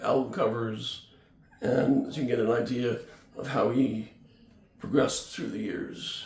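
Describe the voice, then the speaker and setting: Noticeable background noise surrounds a man as he speaks. Audible room echo follows his voice. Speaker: music channel host. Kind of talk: casual vlog. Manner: halting, many fillers.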